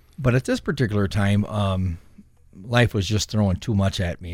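On a very clean recording with a silent background, a man with an American accent speaks in a normal speaking voice. His pitch is fairly low and his intonation fairly even. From US Midwest, Saint Paul, Minnesota. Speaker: former prisoner, ministry director. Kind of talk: interview testimony.

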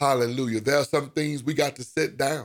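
At a moderate pace, a man delivers his words in an unremarkable speaking voice with a medium pitch. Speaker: preacher. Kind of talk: sermon with scripture reading and prayer. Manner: fervent, rousing pulpit delivery with repeated 'amen' and 'glory to God' interjections.

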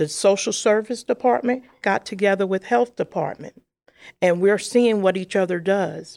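A woman with an American accent, medium pitch and lively intonation, an ordinary speaking voice, on a very clean recording with a silent background. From Brooklyn, New York. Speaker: social services manager. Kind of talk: interview.

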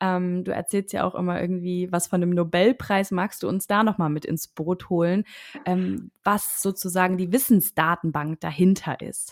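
In a very clean recording with a silent background and a dry, close sound with no echo, a woman talks in an ordinary speaking voice at medium pitch, with fairly even intonation and a moderate pace. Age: 30s. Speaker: podcast host and coach. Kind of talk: interview.

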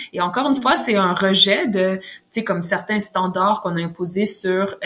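Over noticeable background noise, a woman talks at a medium pitch and a moderate pace with ordinary pitch variation. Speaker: author. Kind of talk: interview.

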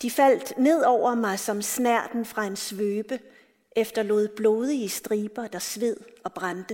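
What we hear is a natural reading voice.

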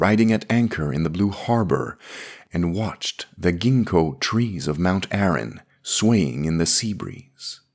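Very deep and low in pitch, a man speaks at a fairly slow pace with lively intonation. The recording is very clean, with a silent background. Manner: measured, dreamy and wistful, formal narration.

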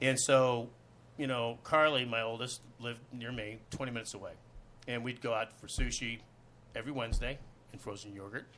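With an American accent, a man speaks fairly quickly at a medium pitch in a bright, sharp tone. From Los Angeles, US. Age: 50s. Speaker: actor. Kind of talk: casual chat. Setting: studio.

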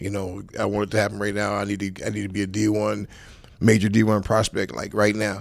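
A man talks at a fairly quick pace in a fairly low pitch, his intonation monotone and flat. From South Central Los Angeles. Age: 50s. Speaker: football coach, former NFL player. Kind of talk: casual interview chat.

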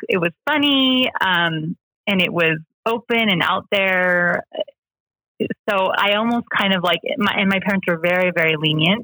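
A woman with an American accent has a plain, everyday voice at a medium pitch. She talks at a fairly slow pace with ordinary pitch variation and very even loudness. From US, rural Washington state. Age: 30s. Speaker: church member sharing her story. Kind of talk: personal interview, testimony.

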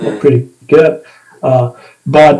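A man with a Spanish accent, medium pitch, at a fairly slow pace. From Argentina, northern Patagonia. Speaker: ski instructor and medical doctor. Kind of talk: interview conversation. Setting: remote call. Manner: halting.

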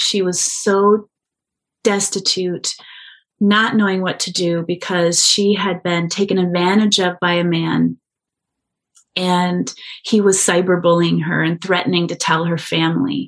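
Speaking at a fairly slow pace, a woman with a Midwestern American accent keeps her intonation fairly even. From US Midwest, rural. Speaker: social entrepreneur. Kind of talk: interview.

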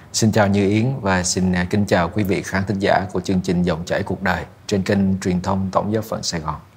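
At a moderate pace, a man with a very deep, low-pitched and somewhat breathy voice speaks in a monotone, flat intonation. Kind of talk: advice talk show interview.

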